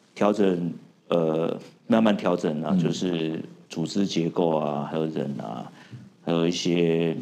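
A man speaks at a very slow pace in a very deep, low voice with a dark, mellow tone, ordinary pitch variation, long and frequent pauses, and audible room echo. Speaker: tech company founder. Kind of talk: interview.

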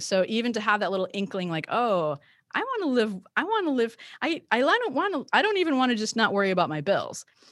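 A woman in a normal speaking voice with an American accent, fairly high in pitch, at a fairly quick pace with lively intonation. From rural Michigan. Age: 50s. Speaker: family lawyer. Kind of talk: casual interview.

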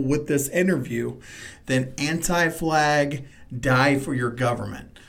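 At a moderate speed, a man talks in a normal speaking voice. It sits fairly high and shows ordinary pitch variation. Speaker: podcast host. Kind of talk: casual interview chat.

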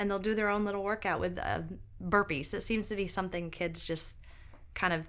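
Audible room echo fills the recording. A woman talks in an American accent. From upstate New York. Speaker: nurse practitioner and mother. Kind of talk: casual interview chat.

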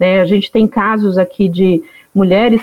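A woman talks in an ordinary speaking voice with fairly even intonation. The sound is dry and close, with no echo. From Northeast Brazil (Alagoas interior). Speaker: founder of a women entrepreneurs network. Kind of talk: podcast interview.

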